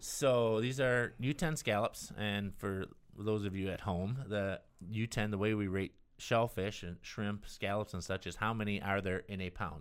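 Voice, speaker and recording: A man speaks fairly slowly at a fairly low pitch, with ordinary pitch variation. He has a plain, everyday voice, and the recording is very clean with a silent background. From US Midwest, northern Illinois near Chicago. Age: 50s. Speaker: chef and restaurant owner. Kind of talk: casual interview chat.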